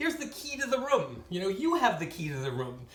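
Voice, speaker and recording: The pace is fairly quick. Noticeable background noise sits behind the voice. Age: 60s. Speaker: hotel night worker. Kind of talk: casual storytelling monologue. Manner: animated.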